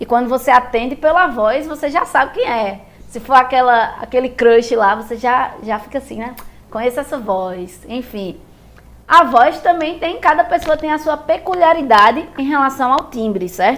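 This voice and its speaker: A high-pitched woman's voice with lively intonation and big swings in loudness. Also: moderate pace. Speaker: music teacher. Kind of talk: lecture.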